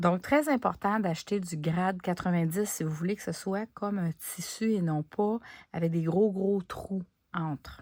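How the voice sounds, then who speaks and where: A woman with a Quebec accent speaks fairly slowly at a medium pitch with ordinary pitch variation. The recording is very clean, with a silent background. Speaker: crafting YouTuber. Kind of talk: craft tutorial; casual chat to viewers. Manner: casual, conversational with hesitations.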